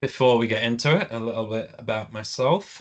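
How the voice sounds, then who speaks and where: A man with a British accent talks at a fairly quick pace against a quiet background. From UK. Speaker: project management director. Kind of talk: webinar presentation. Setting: online webinar. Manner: hesitant, many fillers.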